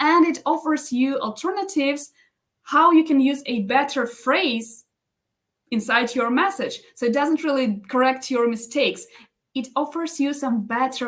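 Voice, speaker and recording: In a non-native accent, a woman speaks at a high pitch. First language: not English. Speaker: business coach and live stream host. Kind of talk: live stream tutorial. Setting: live stream. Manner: halting, many self-corrections.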